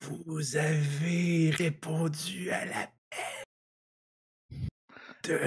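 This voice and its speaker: A man uses a raspy, put-on character voice at a fairly high pitch with monotone, flat intonation. He speaks very slowly, with long, frequent pauses. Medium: actual play. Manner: solemn, prophetic.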